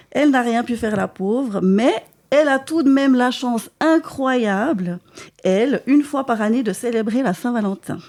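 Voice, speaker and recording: Speaking at a fairly slow pace, a woman with a Swiss accent has a high pitch, an animated tone and ordinary pitch variation. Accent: Neuchâtel Swiss French, pronounced. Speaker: comedian. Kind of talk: stand-up comedy chronicle.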